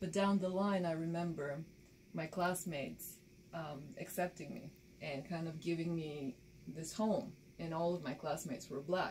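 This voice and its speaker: The speaker has a Bulgarian accent. Pitch varies in an ordinary way. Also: woman, fairly low pitch for a woman, moderate pace. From Bulgaria, rural village; moved to Baltimore at 13. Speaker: documentary filmmaker and photojournalist. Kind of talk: interview.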